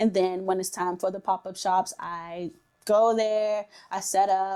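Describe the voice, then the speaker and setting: Her dark, mellow tone comes through as a woman speaks with an American accent. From Washington, D.C., US. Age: 20s. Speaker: skincare entrepreneur. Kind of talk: interview testimony.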